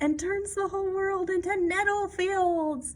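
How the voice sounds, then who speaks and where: In a put-on, squeaky character voice at an extremely high pitch, a woman talks at a moderate pace with fairly even intonation over light background noise. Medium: read story. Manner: anxious, dramatic.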